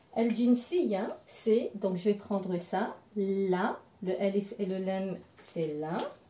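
A woman speaks at a very slow pace with ordinary pitch variation. Audible room echo surrounds her voice. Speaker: French language teacher. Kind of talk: language lesson. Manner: slow, repeating words for learners. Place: home room. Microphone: camera far.

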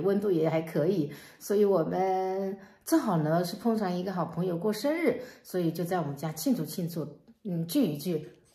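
A woman speaks at a fairly low pitch with ordinary pitch variation. The background is quiet, though the room echo is audible. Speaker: family vlogger. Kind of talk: casual vlog chat.

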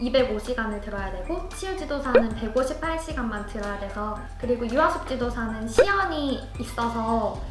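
Loud music plays behind a woman speaking at a moderate pace. Audible room echo colors her voice. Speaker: forest kindergarten instructor. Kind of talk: interview answer. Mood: cheerful, smiling, laughs. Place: studio. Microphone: lapel.

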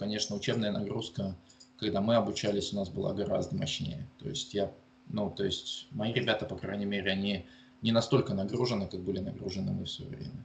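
This man's voice is fairly low and somewhat breathy. He talks at a fairly quick pace. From Russia, Murmansk region. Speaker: geologist and university lecturer. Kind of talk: interview. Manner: halting, many fillers.

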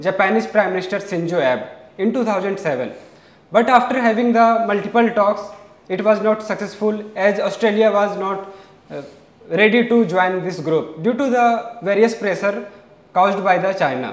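A man speaks at a high pitch and a moderate pace with ordinary pitch variation. Room echo is audible. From India. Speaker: SSB aspirant. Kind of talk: lecturette speech. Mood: formal, slightly nervous. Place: classroom. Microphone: lapel.

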